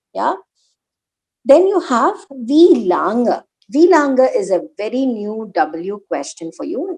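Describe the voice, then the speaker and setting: A woman with an Indian accent and a high pitch speaks at a very slow pace with very wide pitch swings. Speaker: German language teacher. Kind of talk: online language lesson.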